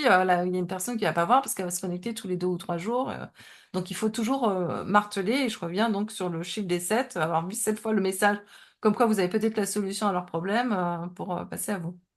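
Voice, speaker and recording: A woman talks with fairly even intonation, and the background is quiet. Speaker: Instagram coach. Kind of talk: webinar presentation. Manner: fast; hesitant, many fillers.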